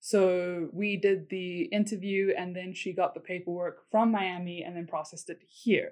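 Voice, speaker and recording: Speaking at a moderate pace with hardly any pauses, a woman with a South African accent uses a medium pitch and monotone, flat intonation, with big swings in loudness. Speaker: military spouse, former English teacher. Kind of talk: casual interview.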